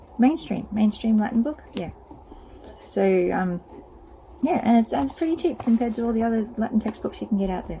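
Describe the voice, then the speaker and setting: With an Australian accent, a woman speaks in a fairly high pitch at a moderate pace. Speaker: self-publisher of books. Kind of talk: casual product walkthrough. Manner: hesitant, many fillers.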